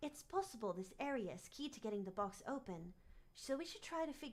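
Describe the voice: Lively intonation over plain reading aloud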